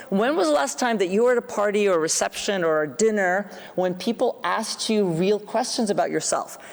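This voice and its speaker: At a fairly quick pace, a woman speaks with lively intonation, a medium pitch and very even loudness. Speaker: psychology professor giving keynote. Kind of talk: keynote lecture. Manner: fast.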